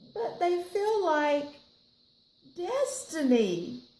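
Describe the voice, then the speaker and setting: With a Southern accent, this voice makes very wide pitch swings against audible room echo. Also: woman. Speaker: library storyteller. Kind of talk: reading aloud to children. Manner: animated.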